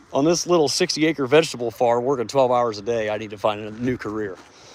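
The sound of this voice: This man's voice has a medium pitch and moves at a fairly quick pace.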